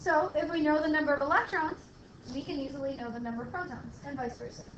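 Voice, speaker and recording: A woman talks at a very fast pace in a high pitch, with ordinary pitch variation. Her loudness swings widely, and audible room echo is present. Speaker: chemistry lecturer. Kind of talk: lecture. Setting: classroom with students.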